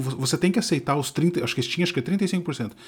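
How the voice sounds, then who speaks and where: A fairly high-pitched man with lively intonation is heard in a very clean recording with a silent background. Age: middle-aged. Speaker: podcast co-host. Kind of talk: casual chat.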